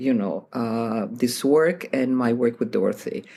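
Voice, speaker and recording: A woman speaks with a non-native accent. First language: not English. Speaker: piano teacher and author. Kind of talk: interview.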